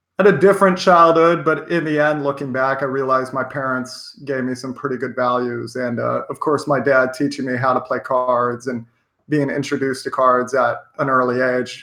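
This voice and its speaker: A man with a bright, sharp tone speaks at a fairly quick pace and medium pitch, his intonation fairly even, with hardly any pauses. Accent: American. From Washington State, US. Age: 30s. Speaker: professional poker player and life coach. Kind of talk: interview.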